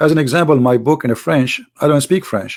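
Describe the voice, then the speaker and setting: With an Arabic accent, a man speaks at a moderate pace and a fairly high pitch. The recording is very clean, with a silent background. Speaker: Islam critic, author and live show host. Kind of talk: casual live talk to viewers. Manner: hesitant with fillers.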